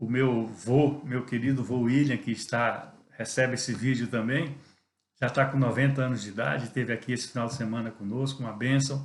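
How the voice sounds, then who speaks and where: Amid audible room echo, a man with a medium pitch sounds somewhat breathy. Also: fairly even intonation, moderate pace. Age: 60s. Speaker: pastor. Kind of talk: devotional sermon talk. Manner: conversational with hesitations.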